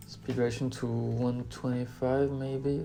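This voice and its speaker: A speaker with a non-native accent talks over music in the background. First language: not English. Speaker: video creator. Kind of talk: tutorial. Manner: casual, hesitant.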